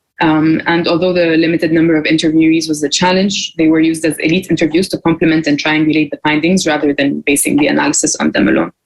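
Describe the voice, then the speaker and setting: Speaking at a very fast pace with hardly any pauses, a woman with an Arabic accent keeps a very deep, low pitch, monotone, flat intonation and very even loudness. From Egypt. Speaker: graduate student researcher. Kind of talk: conference presentation.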